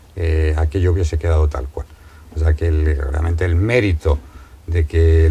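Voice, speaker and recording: In a Madrid accent, a man speaks with a very deep, low pitch and a dark, mellow tone that is somewhat breathy. His intonation stays fairly even at a moderate pace. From Madrid, Spain. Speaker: novelist. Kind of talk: interview.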